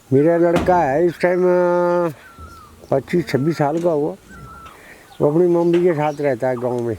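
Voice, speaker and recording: Long, frequent pauses break up speech with ordinary pitch variation over noticeable background noise. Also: man, high pitch for a man. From Uttarakhand, Pauri Garhwal. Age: 60s. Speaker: villager. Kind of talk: documentary interview.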